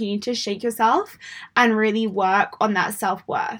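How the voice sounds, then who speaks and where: A woman speaks in an English accent at a moderate pace. Her pitch is fairly high, with ordinary variation. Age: 20s. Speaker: mindset coach and podcast host. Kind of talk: motivational monologue. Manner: animated.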